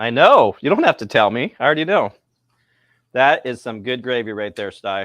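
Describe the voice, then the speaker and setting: A man talks at a moderate pace and medium pitch with ordinary pitch variation. His loudness shows big swings. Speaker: home cooking YouTuber. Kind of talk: casual cooking video chat. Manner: animated.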